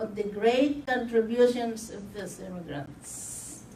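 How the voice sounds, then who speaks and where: Very slow speech from a woman with a non-native accent, fairly high in pitch with ordinary variation, amid audible room echo and noticeable background noise. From Philippines. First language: not English. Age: 70s. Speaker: community health patient. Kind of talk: testimony. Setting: news conference.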